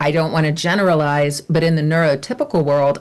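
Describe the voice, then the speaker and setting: Ordinary pitch variation and a moderate pace from a woman's voice. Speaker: voiceover artist and coach. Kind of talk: interview conversation. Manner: high energy.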